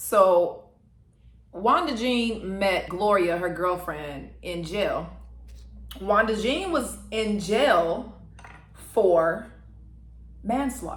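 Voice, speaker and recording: Speaking very slowly with long, frequent pauses, a woman uses a medium pitch, lively intonation and vocal fry. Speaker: mukbang / ASMR eating content creator. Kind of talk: storytelling about a documentary while eating.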